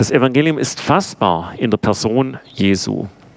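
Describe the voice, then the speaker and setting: Noticeable background noise surrounds a man whose voice sits at a medium pitch. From Swabia, Swabian Jura (southwest Germany). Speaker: theology professor. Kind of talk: lecture.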